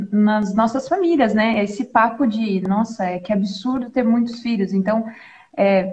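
A woman with a fairly high, somewhat breathy voice speaks at a fairly slow pace with ordinary pitch variation. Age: 20s. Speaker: doula and mother. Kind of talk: religious talk in live stream. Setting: live stream video call, using headphones.

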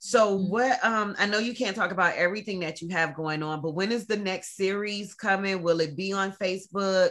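A woman with an ordinary speaking voice talks at a fairly quick pace with hardly any pauses. Her pitch is medium and her intonation fairly even. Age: 40s. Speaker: podcast host. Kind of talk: casual chat.

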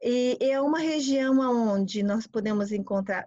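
The voice belongs to a woman and is somewhat breathy. She speaks fairly slowly. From Brazil. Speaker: tour guide and translator. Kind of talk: informal interview.

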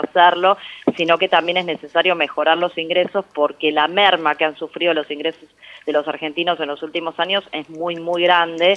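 A woman's fairly low, monotone voice at a moderate pace, with noticeable background noise. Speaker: economist and national legislator. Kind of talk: interview.

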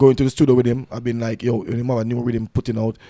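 Very fast and monotone, a man speaks with flat intonation and a dark, mellow tone. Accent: Jamaican. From Jamaica. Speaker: dancehall artist. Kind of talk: casual interview. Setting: studio.

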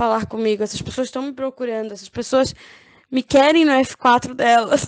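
A woman's high-pitched voice with lively intonation at a fairly slow pace. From Brazil, Florianópolis. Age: 20s. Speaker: online game contestant. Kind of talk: casual interview.

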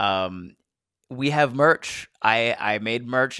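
A man speaks with an American accent in a bright, sharp tone. The sound is dry and close with no echo, a very clean recording against a silent background. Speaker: podcast host and comedian. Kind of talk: scripted intro and outro; casual chat. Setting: studio.

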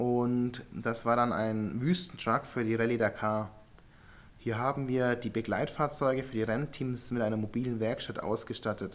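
An ordinary speaking voice, this man talks at a medium pitch and moderate pace with fairly even intonation. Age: 20s. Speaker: entrepreneur, sales expert. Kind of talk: interview.

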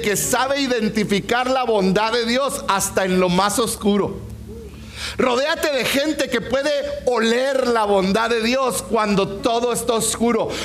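The speech moves at a fairly slow pace with ordinary pitch variation and very even loudness. Noticeable background noise and audible room echo are present. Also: man. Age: 40s. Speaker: pastor. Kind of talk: sermon. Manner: animated.

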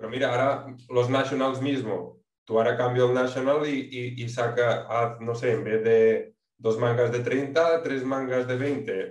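A man talks at a fairly slow pace with hardly any pauses, his medium pitch held in a flat monotone. Audible room echo surrounds his voice. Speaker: podcast co-host, amateur rider. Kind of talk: casual chat.

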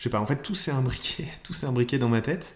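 A man speaks with a fairly high pitch and a somewhat breathy sound. His pitch varies in an ordinary way. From northern France (Nord, near Lille). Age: 20s. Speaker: entrepreneur. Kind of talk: interview. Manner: hesitant, many fillers.

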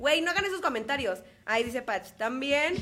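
A woman's high-pitched, very fast voice with lively intonation, set against noticeable background noise. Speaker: podcast co-host. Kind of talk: casual chat. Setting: studio.

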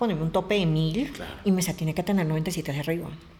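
A somewhat breathy woman's voice. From Colombia, Bogotá. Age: 30s. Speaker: adult content creator and journalist. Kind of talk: interview.

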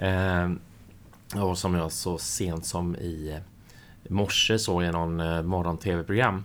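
Very slow speech with fairly even intonation and audible room echo. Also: man, very deep, low pitch for a man. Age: 40s. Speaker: podcast co-host. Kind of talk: casual chat.

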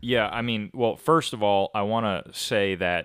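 A man with a western New York accent, fairly low in pitch, fairly slow and fairly even in intonation, on a very clean recording with a silent background. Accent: western New York American. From US, Rochester NY. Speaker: podcast co-host. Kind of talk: casual chat.

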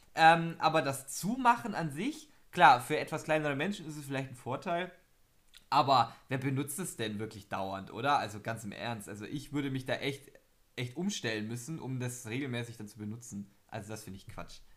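At medium pitch and a moderate pace, a man with an unremarkable speaking voice uses lively intonation and big swings in loudness. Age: young. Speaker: podcast co-host. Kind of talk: casual chat.

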